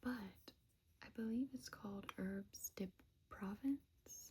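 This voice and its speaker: Soft-spoken and whispering, the speaker goes at a very slow pace. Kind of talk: ASMR show-and-tell of gifts. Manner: soft-spoken, whispered.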